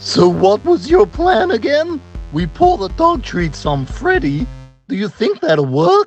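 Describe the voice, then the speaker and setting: A cartoonish character voice, fairly high and fairly slow, with music in the background. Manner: deadpan, blunt.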